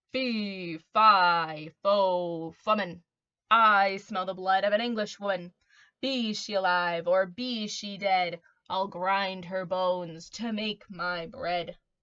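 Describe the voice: A woman does a booming, menacing put-on character voice at medium pitch. She speaks at a very slow pace.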